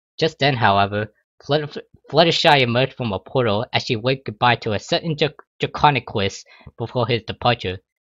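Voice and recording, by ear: The speaker is reading aloud in a natural voice, and the background is quiet.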